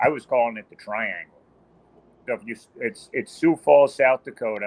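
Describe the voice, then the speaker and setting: In a plain, everyday voice, a man speaks at a moderate pace and medium pitch, with ordinary pitch variation and big swings in loudness. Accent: American. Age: 60s. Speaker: long-distance motorcycle rider. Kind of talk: casual interview chat.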